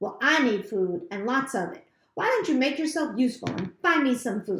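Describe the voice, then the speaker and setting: In a put-on character voice, a woman growls at a high pitch and a moderate pace. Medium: read story. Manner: sly, mocking.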